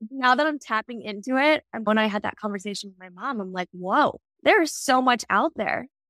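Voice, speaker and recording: A woman with an ordinary speaking voice, fairly high in pitch and fairly quick in pace, with lively intonation, big swings in loudness and a dry, close sound with no echo. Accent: American. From US East Coast, Maryland. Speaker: apparel brand founder. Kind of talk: interview about personal grief.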